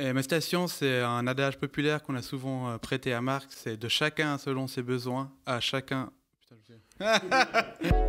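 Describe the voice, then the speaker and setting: A medium-pitched man talks at a fairly slow pace with hardly any pauses, ordinary pitch variation and big swings in loudness, with music in the background. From Switzerland, Lausanne (Vaud). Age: 30s. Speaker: political candidate. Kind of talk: campaign self-presentation.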